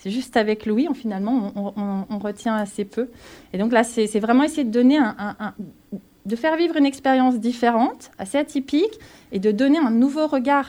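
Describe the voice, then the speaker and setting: Speaking at a moderate pace, a woman uses a high pitch and ordinary pitch variation in a dark, mellow tone. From Grésivaudan valley near Grenoble, France. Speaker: cultural association project manager. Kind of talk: radio interview.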